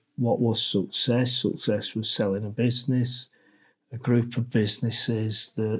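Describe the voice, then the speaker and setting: Here a man's voice sounds somewhat breathy. His intonation stays fairly even. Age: 60s. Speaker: entrepreneur. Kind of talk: interview. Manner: halting.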